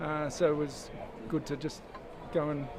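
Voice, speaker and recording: Over noticeable background noise and audible room echo, a man with an Australian accent speaks at a fairly high pitch. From Australia, Sydney. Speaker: sailor. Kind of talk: interview.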